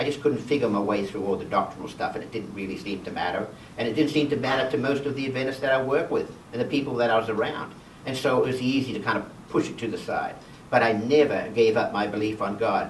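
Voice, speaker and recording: A man with an Australian accent speaks at a very fast pace with ordinary pitch variation. Audible room echo and noticeable background noise fill the recording. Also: medium pitch for a man. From Western Australia. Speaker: guest presenter, healthcare researcher. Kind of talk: personal talk to a church class. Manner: loud.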